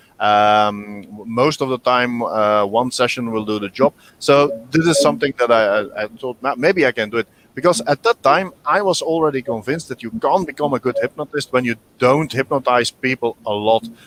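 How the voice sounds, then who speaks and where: A man in a Flemish accent, medium in pitch, with ordinary pitch variation, a moderate pace, and a dry, close sound with no echo. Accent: Belgian Dutch (Flemish) accent in English. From Belgium (Dutch-speaking). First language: Dutch. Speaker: hypnotherapist. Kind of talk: interview. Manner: halting, many repetitions and fillers.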